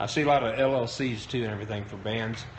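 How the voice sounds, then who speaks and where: With audible room echo around him, a man talks at a fairly quick pace with ordinary pitch variation. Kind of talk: live-stream talk. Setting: live broadcast on Periscope. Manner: hesitant, many fillers.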